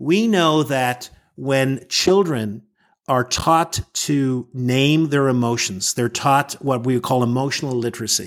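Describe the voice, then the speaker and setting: On a very clean recording with a silent background, a man with an American accent and a medium pitch talks at a fairly slow pace with ordinary pitch variation and very even loudness. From Northern Ireland. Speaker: emotional intelligence coach and trainer. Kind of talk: interview.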